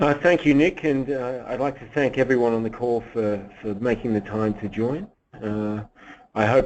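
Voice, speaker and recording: Here a man speaks with an Australian accent. His pitch varies in an ordinary way. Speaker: economist. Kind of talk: webinar presentation. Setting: webinar. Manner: hesitant, many fillers.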